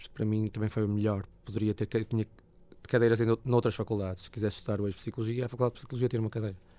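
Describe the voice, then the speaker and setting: A man with a dark, mellow tone talks at a very fast pace. His medium pitch holds fairly even intonation. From northern Portugal, Porto. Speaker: blues musician. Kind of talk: casual interview.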